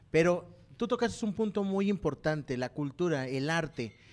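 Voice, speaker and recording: An unremarkable speaking voice with lively intonation, captured in a very clean recording against a silent background. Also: man. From Mexico, not from San Luis Potosí. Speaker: podcast host. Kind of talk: sponsor plug; casual interview chat.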